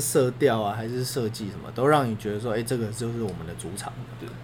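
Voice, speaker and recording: A man's voice with audible room echo. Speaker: sports podcast co-host. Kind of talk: casual chat.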